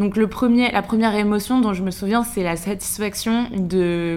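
In an ordinary speaking voice, a woman talks at a fairly slow pace with a medium pitch and ordinary pitch variation. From western France, Maine-et-Loire. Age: 20s. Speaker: entrepreneur and influencer. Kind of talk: casual interview.

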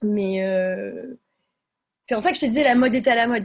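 At a moderate pace, a woman talks in a fairly high, somewhat breathy voice. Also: quiet background. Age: 30s. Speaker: fashion brand founder. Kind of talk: casual interview.

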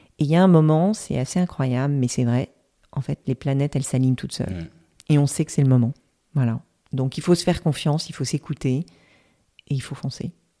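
In a very clean recording with a silent background, a woman with a very deep, low voice and a dark, mellow tone speaks at a fairly quick pace with ordinary pitch variation, long, frequent pauses, and a dry, close sound with no echo. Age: 50s. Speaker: reflexologist and former HR director. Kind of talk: interview. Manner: hesitant.

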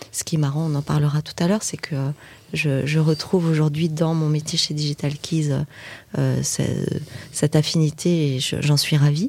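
Dry, close speech from a woman at a moderate pace, with no echo and noticeable background noise. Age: 50s. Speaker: digital agency partner. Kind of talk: casual interview chat.

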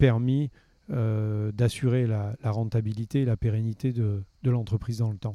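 Very slowly and with fairly even intonation, a man speaks at a medium pitch in a dark, mellow tone, the sound dry and close with no echo. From southern France, Gard near Nîmes. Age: 50s. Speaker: winegrower and fruit farmer. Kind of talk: interview. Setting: outdoors in a park. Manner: halting, many fillers and repetitions.

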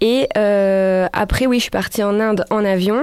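In a very clean recording with a silent background, a woman of medium pitch speaks with a dark, mellow tone and fairly even intonation. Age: 30s. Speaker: police officer and backpack traveller. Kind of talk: interview.

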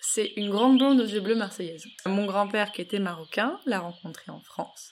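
A woman talks at a medium pitch and a moderate pace with ordinary pitch variation. Her loudness swings widely. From Morocco. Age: 20s. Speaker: history podcaster. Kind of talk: personal testimony. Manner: animated.

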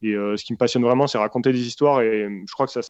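In a dry, close recording with no echo and a quiet background, a man talks at medium pitch with fairly even intonation. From France, south (grew up in Senegal until about 10). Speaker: trail runner and video filmmaker. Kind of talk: interview. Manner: hesitant, many repetitions.

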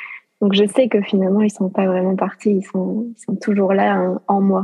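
A woman's medium-pitched voice with monotone, flat intonation. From southern France. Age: 20s. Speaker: life coach. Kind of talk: testimony. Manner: hesitant, many fillers.

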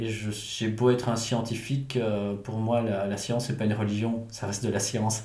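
Through noticeable background noise and audible room echo, a man speaks in a fairly low, flat monotone. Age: 40s. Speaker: entrepreneur and engineer. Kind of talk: interview. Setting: manor house. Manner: halting.

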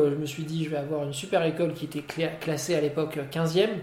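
At a moderate pace, a man with a fairly high voice speaks in a flat monotone, with audible room echo and noticeable background noise. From Morocco. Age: 30s. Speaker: business consultant. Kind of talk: interview. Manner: halting, many repetitions.

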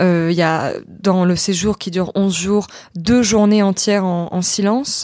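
The recording is very clean, with a silent background. A woman of medium pitch speaks at a very slow pace with fairly even intonation. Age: 20s. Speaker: actress and internet comedian. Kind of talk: casual chat. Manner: halting.

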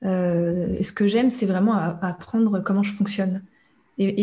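A woman at a medium pitch, somewhat breathy, with a dark, mellow tone, monotone, flat intonation and a moderate pace. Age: young. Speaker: neuroscience coach. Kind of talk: interview. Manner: halting.

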